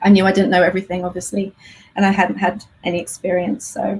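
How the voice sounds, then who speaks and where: Somewhat breathy and at a medium pitch, a woman with an English accent speaks at a fairly quick pace. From England. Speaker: homeschool teacher. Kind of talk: interview.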